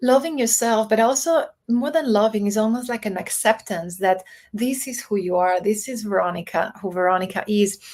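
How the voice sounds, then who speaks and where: A woman with a non-native accent speaks at a moderate pace in a fairly high voice with ordinary pitch variation, on a very clean recording with a silent background. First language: not English. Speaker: diversity and executive coach. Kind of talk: interview.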